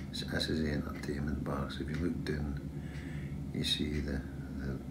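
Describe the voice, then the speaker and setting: Loud background noise accompanies speech at a moderate pace. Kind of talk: casual vlog chat. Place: boat. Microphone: phone near.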